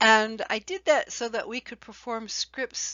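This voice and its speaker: A woman talks with ordinary pitch variation. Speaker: author and playwright. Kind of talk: casual talk to camera.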